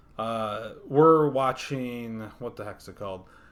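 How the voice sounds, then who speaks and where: A man with an unremarkable speaking voice, fairly even intonation and a fairly slow pace. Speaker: podcast co-host. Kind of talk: casual chat.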